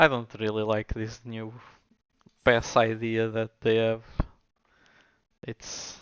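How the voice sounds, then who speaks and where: A man at a very slow pace, with long, frequent pauses, monotone, flat intonation and big swings in loudness. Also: medium pitch for a man. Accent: Portuguese. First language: Portuguese. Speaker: gaming streamer. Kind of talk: gameplay commentary. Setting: live stream.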